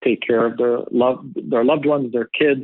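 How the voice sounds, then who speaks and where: In a normal speaking voice, a man of medium pitch talks at a fairly quick pace. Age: 30s. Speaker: restaurant founder and CEO. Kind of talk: interview.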